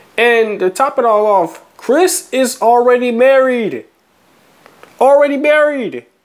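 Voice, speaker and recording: An extremely high-pitched man's voice at a very slow pace, with ordinary pitch variation and very even loudness. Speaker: vlogger. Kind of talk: casual rant. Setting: at home, new place. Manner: animated.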